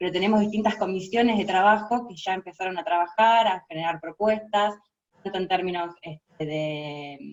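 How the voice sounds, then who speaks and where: A woman's medium-pitched voice in a Rioplatense accent, with big swings in loudness and ordinary pitch variation. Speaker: international relations lecturer and researcher. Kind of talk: interview. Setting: video call. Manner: fast.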